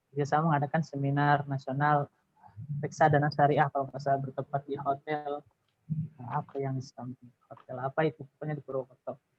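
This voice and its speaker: Somewhat breathy and fairly high in pitch, a man talks at a fairly quick pace in a monotone, flat intonation, with big swings in loudness. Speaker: alumnus, employee. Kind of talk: webinar talk sharing tips.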